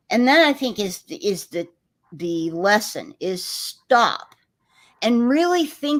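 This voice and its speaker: A woman with an American accent speaks in very wide pitch swings. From Texas. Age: 60s. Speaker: livestream host. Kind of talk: livestream discussion.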